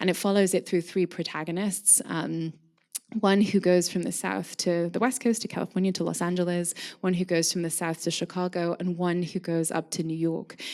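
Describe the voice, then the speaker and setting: A woman in a Scottish accent, fairly low in pitch with fairly even intonation, at a moderate pace on a very clean recording with a silent background. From Scotland, Scottish Borders. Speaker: curator and craft historian. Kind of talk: lecture. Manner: frequent ums and fillers.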